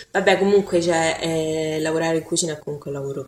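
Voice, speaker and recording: A woman speaks with a very deep, low pitch. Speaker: friend of the victim. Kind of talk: casual interview. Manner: laughs often.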